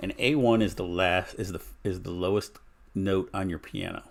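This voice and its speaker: A man's calm tone at a fairly low pitch, with ordinary pitch variation. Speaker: live streamer. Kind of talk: casual chat.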